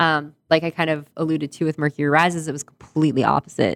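A woman speaks with a Canadian accent at a fairly quick pace. Her voice is very deep and low. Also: dry, close sound with no echo. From northern Manitoba, Canada. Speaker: novelist. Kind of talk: interview. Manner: animated.

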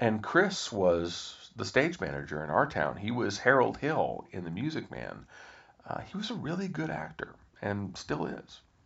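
Very wide pitch swings at a fairly slow pace, with an American accent. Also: man, big swings in loudness. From Kansas, US Midwest. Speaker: podcast host. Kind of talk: podcast outro; personal storytelling monologue.

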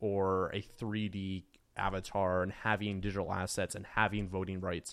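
A man with an American accent and a normal speaking voice talks slowly at a fairly low pitch in a very clean recording with a silent background. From rural US. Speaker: football club co-owner. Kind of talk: casual interview.

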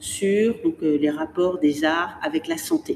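A woman talks at a very slow pace, her pitch swinging very widely, while noticeable background noise sits behind her. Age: 50s. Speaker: museum director. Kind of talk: interview. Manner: articulate, with frequent hesitations.

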